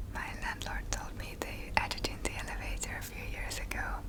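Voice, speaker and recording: Someone is whispering at a moderate pace. Noticeable background noise is present. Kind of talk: ASMR home tour voiceover. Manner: whispered; rambling.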